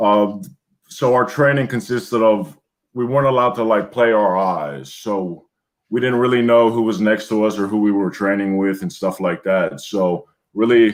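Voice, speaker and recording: With an American accent, a man talks at a moderate pace in a fairly low pitch with ordinary pitch variation. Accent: American accent when speaking Greek. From US. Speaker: former Greek presidential guard soldier. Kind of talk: interview.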